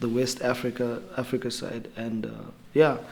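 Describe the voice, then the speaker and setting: Over noticeable background noise, a man speaks at a medium pitch with a Namibian accent. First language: Oshiwambo. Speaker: rapper. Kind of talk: interview. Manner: halting.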